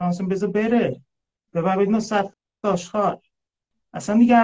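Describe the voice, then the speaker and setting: The quiet background leaves a man's voice clear. His pitch varies in an ordinary way. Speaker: live stream host. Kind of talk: casual chat. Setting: live video stream. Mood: reflective, calm personal story. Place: home room. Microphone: phone near.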